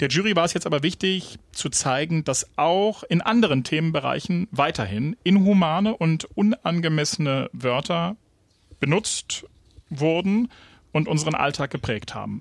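At a moderate pace, a man with a fairly high pitch and lively intonation talks in an ordinary speaking voice. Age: 40s. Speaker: radio news podcast host. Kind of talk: casual news discussion.

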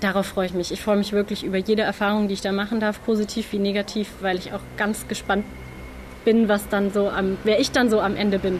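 A woman talks at a fairly quick pace. Her medium-pitched voice stays monotone and flat. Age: 20s. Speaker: nursing trainee. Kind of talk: interview.

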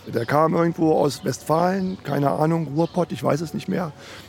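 Amid noticeable background noise, a man talks at a moderate pace, fairly high in pitch for a man, with ordinary pitch variation. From Lower Saxony, Germany. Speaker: former squatter. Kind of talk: interview. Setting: outdoors on a street.

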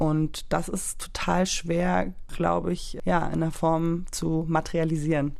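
A woman talks at a very slow pace, with audible room echo around her. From Berlin, Germany. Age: 30s. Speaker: artist and photographer. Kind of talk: casual discussion. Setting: studio.

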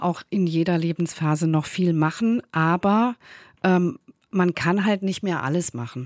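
Recorded very cleanly against a silent background, dry and close with no echo, an ordinary speaking voice moves at a fairly slow pace with ordinary pitch variation. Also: woman. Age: middle-aged. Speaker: author and journalist. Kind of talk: radio interview.

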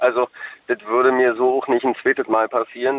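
A normal speaking voice is heard here. It proceeds at a moderate pace. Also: man. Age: 30s. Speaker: caller. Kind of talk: radio call-in. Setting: phone call.

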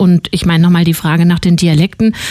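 A woman talks at a fairly quick pace in an ordinary speaking voice with a medium pitch. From Hesse. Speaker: radio host. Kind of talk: news presentation; radio interview.

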